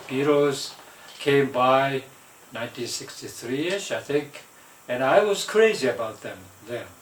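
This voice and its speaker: A man with a Japanese accent is recorded with audible room echo and noticeable background noise. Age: 70s. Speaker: vlogger. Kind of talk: casual monologue. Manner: halting, many fillers.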